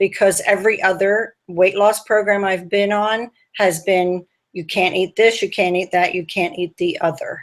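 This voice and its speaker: A woman speaks in an unremarkable speaking voice at medium pitch, keeping a moderate pace and fairly even intonation. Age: 60s. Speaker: dieting group member. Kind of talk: interview over video call.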